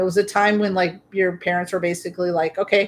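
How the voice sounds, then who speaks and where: With an American accent, a woman talks at a fairly quick pace in medium pitch, in an unremarkable speaking voice. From US Midwest (South Dakota). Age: 50s. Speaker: streamer. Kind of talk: casual chat. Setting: livestream.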